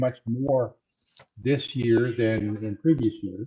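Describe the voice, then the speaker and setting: This man's voice comes across as somewhat breathy. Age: 70s. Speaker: retired physician, retail options trader. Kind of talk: panel self-introduction.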